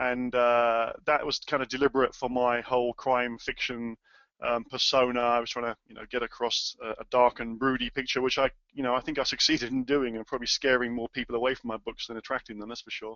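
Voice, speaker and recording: Speaking with a British accent, a man keeps a monotone, flat intonation at medium pitch and a fairly quick pace, with big swings in loudness. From UK. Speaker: author and webinar presenter. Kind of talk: webinar presentation. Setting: webinar. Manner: halting, many fillers.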